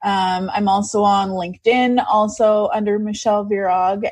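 A woman's somewhat breathy voice with a Canadian accent, medium in pitch, at a fairly slow pace over a quiet background. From Canadian prairies. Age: 30s. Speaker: digital marketer. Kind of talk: interview.

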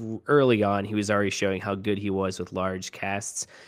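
At a moderate pace, a man with a fairly low pitch uses a normal speaking voice on a very clean recording with a silent background. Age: 30s. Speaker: podcast co-host and writer. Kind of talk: casual interview chat.

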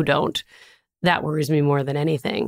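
Recorded very cleanly with a silent background, a woman with an American accent speaks at a very deep, low pitch. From US Midwest, Minnesota. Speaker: tech company CEO. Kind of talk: interview.

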